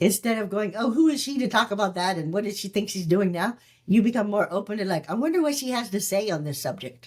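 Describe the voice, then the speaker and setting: Very fast and with hardly any pauses, a woman talks in a somewhat breathy voice at a medium pitch with lively intonation. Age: 60s. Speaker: alcohol-free mindset and longevity coach, former flight attendant. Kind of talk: casual chat.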